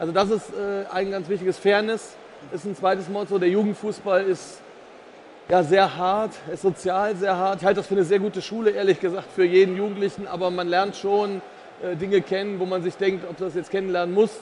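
At a fairly quick pace, a man speaks at a high pitch with monotone, flat intonation. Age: 50s. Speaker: insurance executive. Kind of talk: casual chat. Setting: stage at trade fair.

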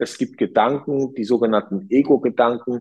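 A man speaks at a moderate pace with medium pitch and ordinary pitch variation. It is a plain, everyday voice. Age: 40s. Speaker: hotel entrepreneur. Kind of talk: interview.

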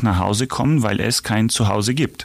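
A man with a Ukrainian accent speaks in a fairly low voice with vocal fry. The sound is dry and close, with no echo. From Ukraine. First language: Ukrainian (speaking German). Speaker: charity association vice chair. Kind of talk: interview.

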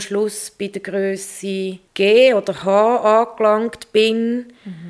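This woman has a fairly high pitch. Her intonation is monotone and flat. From Switzerland, Zurich. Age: 40s. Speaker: environmental educator and garden writer. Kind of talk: personal interview.

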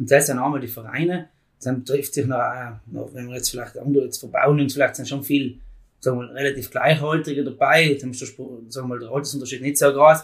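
This man races along at a very fast pace in a flat, monotone delivery. His voice is fairly high in pitch and somewhat breathy. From South Tyrol, Italy. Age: 20s. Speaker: farm youth organisation leader. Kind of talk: casual interview.

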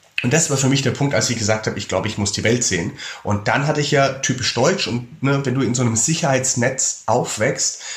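Very fast speech from a man at medium pitch with ordinary pitch variation, plus audible room echo and noticeable background noise. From Germany, Würzburg (Lower Franconia). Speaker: travel author and speaker. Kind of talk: casual interview.

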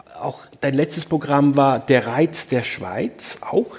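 A man delivers his words very slowly while noticeable background noise carries on. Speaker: journalist, moderator. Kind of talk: on-stage interview. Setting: stage with audience.

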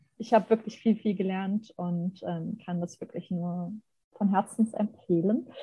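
Somewhat breathy with a dark, mellow tone, a woman speaks at medium pitch and a fairly slow pace. Her intonation is fairly even while her loudness swings widely. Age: 30s. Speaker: graphic designer. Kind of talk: casual chat.

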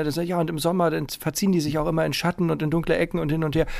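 A man's fairly high-pitched voice at a very fast pace. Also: very clean recording, silent background. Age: 40s. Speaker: podcast host. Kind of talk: casual chat.

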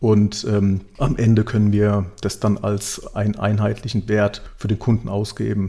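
Somewhat breathy, a man speaks with a fairly low pitch, a dark, mellow tone, and monotone, flat intonation. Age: 40s. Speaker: digitalization and sustainability manager. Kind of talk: podcast interview.

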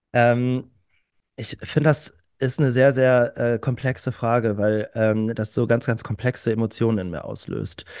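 An unremarkable speaking voice at a fairly slow pace, with fairly even intonation, against a quiet background. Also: man, medium pitch for a man. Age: 30s. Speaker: climate activist. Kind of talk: casual chat. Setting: online recording before live audience.

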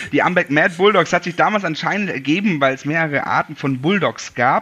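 Talking at a fairly quick pace, a man has a bright, sharp tone. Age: 30s. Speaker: american football event organizer. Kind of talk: interview. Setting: video call.

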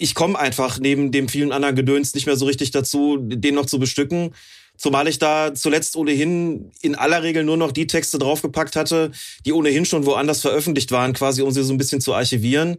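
Over a very clean, silent background, a man with a fairly high pitch speaks very fast, his loudness very even and his intonation fairly even. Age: 50s. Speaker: football referee and referee expert. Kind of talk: casual chat.

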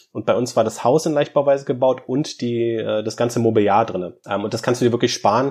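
A man speaks in a normal speaking voice at medium pitch, with fairly even intonation and a fairly quick pace. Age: 30s. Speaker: media professional and tiny house owner. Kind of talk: interview.

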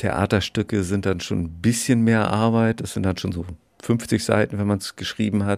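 An ordinary speaking voice from a man, fairly low in pitch, with fairly even intonation and a moderate pace, in a very clean recording with a silent background and a dry, close sound with no echo. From northern Germany, Schleswig-Holstein (Bad Segeberg). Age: 50s. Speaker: children's book author, actor and musician. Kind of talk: casual interview. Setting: outdoors on a backyard balcony.

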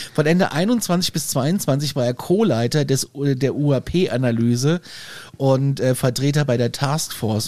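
Fairly high male voice, dark and mellow in tone, its pitch varying in an ordinary way. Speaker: podcast host. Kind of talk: casual chat. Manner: animated.

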